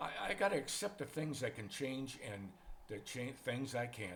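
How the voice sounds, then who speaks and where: In an American accent, a man speaks at a medium pitch with very wide pitch swings and a somewhat breathy quality. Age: 70s. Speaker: retired expat vlogger. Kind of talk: casual monologue vlog. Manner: relaxed, conversational.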